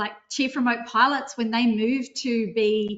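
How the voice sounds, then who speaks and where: A high-pitched woman's voice with an Australian accent. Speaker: drone consultancy presenter. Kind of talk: webinar software demo. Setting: online webinar with screen sharing. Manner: fast.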